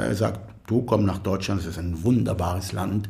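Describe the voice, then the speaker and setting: A man with an Arabic accent talks at a fairly slow pace in a fairly low, somewhat breathy voice. His pitch variation is ordinary, and the room echo is audible. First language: Arabic (speaking German). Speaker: composer. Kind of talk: interview conversation. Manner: halting.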